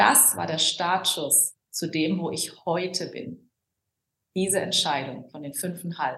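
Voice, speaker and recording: A very slow woman's voice, fairly low in pitch, with a bright, sharp tone, vocal fry and ordinary pitch variation. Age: 40s. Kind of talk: podcast interview. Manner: animated.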